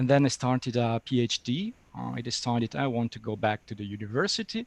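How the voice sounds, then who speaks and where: With an Italian accent, a man speaks at a very fast pace and a medium pitch with ordinary pitch variation. The sound is dry and close with no echo, though noticeable background noise is present. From Italy. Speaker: interpreting lecturer and software developer. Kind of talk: webinar interview. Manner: halting.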